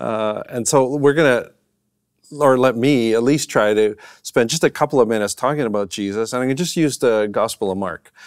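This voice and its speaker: A man with a Canadian accent speaks at a moderate pace and medium pitch, with ordinary pitch variation, a dry sound with no echo and a quiet background. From Canadian prairies. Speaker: professor and minister; professor, minister. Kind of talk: conversational lecture. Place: studio.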